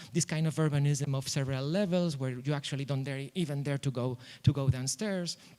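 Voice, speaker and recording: In a non-native accent, a man talks at a fairly quick pace. His fairly high voice has a dark, mellow tone and fairly even intonation. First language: not English. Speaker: architect. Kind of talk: conference presentation. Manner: halting, many fillers and repetitions.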